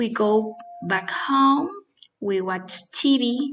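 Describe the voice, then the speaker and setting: A woman with a Spanish accent has a fairly high pitch and ordinary pitch variation. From Colombia, Boyacá (Chiquinquirá). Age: 20s. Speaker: nursing assistant and English learner. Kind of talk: prepared self-introduction for English practice. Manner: halting, with fillers.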